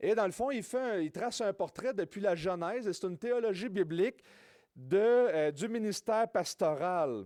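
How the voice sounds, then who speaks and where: A high-pitched man speaks with a dark, mellow tone and lively intonation at a moderate pace. The recording is very clean, with a silent background and a dry, close sound without echo. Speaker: preacher. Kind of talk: sermon. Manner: informal, hesitant with fillers.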